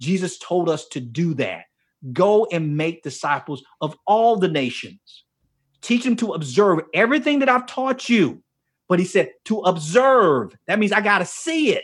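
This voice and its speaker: A man speaks in an animated tone at a high pitch, his voice swinging very widely up and down. The recording is very clean, with a silent background. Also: fairly slow pace. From US South, Miami, Florida. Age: 50s. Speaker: author and men's ministry leader. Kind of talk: casual interview chat.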